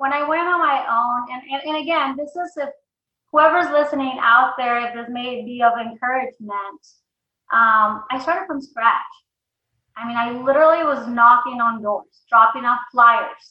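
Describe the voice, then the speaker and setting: A woman speaks with a high pitch and ordinary pitch variation. Her loudness swings widely. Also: moderate pace. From Mexico, moved to US at 11. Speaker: insurance agency owner. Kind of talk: interview. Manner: animated.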